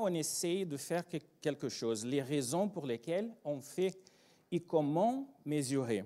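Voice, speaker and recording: With a Brazilian accent, a man speaks at a very slow pace. His tone is dark and mellow, and his pitch swings very wide. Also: quiet background. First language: Portuguese (speaking French). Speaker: agile trainer and consultant; agile trainer. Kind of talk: conference talk. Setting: stage with audience. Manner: animated. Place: hall. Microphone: handheld.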